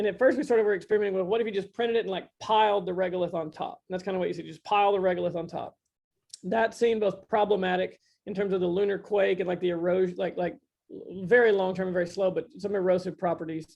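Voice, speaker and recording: At a very fast pace, a man with a high voice talks with fairly even intonation. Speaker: construction tech company CEO, guest speaker. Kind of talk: technical presentation. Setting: virtual meeting.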